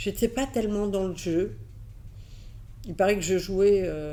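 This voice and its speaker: The speaker has a Catalan accent, and room echo can be heard. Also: woman. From Catalonia, then raised in France from age 6. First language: Catalan (speaking French). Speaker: advertising executive. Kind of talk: interview. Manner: hesitant fillers.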